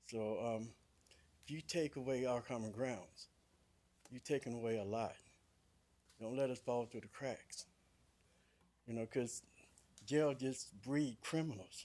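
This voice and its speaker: Pausing long and often, a man talks at a fairly slow pace in a medium pitch with ordinary pitch variation. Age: 60s. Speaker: public commenter at county board meeting. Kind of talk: public comment testimony.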